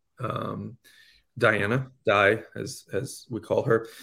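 Here a man speaks in an unremarkable speaking voice at a medium pitch. His intonation stays fairly even. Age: 40s. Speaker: comedian. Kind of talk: casual chat.

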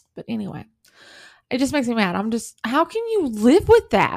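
Animated in tone, a woman with a Southern US accent talks at a moderate pace. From US South. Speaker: podcast host and author. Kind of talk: true crime podcast monologue.

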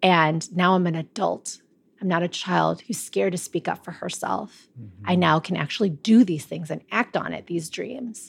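A woman with an American accent talks at a moderate pace with a fairly low pitch, lively intonation and vocal fry, on a very clean recording with a silent background. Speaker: energy healer and past life regression guide. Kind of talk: casual interview chat. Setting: in person at her home studio.

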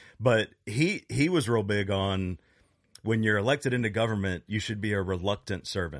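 A man with an American accent and a plain, everyday voice, fairly low in pitch with ordinary pitch variation, at a moderate pace against a quiet background. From US, Chesapeake, Virginia. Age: 50s. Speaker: podcast co-host, punk musician. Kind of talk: casual chat.

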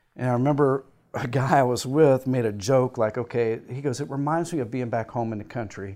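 An unremarkable speaking voice from a man with an American accent, medium pitch and ordinary pitch variation at a moderate pace, on a very clean recording with a silent background. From rural Indiana. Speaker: Air Force veteran and company executive. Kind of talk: interview.

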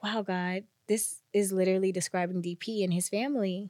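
In an American accent, a woman with an ordinary speaking voice talks at a moderate pace and medium pitch, on a very clean recording with a silent background and a dry, close sound with no echo. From New Jersey. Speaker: content creator and podcast guest. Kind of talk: casual chat.

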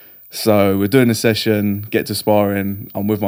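Talking at a moderate pace, a man with a southern English accent keeps a monotone, flat intonation. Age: 30s. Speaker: jiu-jitsu and strength coach. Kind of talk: casual chat.

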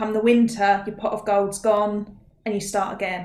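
The woman speaks in an Essex accent at a medium pitch. Her intonation is flat and monotone, with audible room echo around her. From Essex, England. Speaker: mindset coach. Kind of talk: interview.

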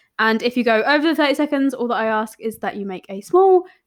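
With a British accent and lively intonation, a woman speaks on a very clean recording with a silent background. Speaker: podcast host, marketing coach. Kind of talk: casual interview chat. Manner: animated, swears casually.

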